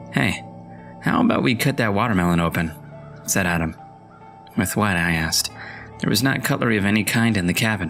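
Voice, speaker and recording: A man with a fairly low pitch and ordinary pitch variation, a fairly quick pace, long, frequent pauses and very even loudness, with music in the background. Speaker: voice-over narrator. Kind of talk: horror story reading.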